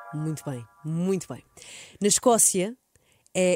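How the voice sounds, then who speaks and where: A woman with a European Portuguese accent and lively intonation, music playing in the background. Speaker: radio host. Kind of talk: casual chat. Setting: studio.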